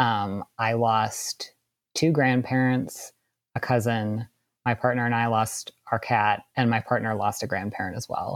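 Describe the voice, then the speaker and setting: A plain, everyday voice from a man with an American accent, medium pitch and fairly even intonation, dry and close with no echo, in a very clean recording with a silent background. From US Midwest, suburban Wisconsin. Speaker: composer and novelist. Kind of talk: casual interview.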